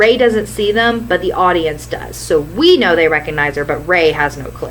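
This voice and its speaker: Noticeable background noise is present while the talking proceeds at a moderate pace. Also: woman. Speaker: YouTube fan commentator. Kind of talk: scripted fan story pitch narration.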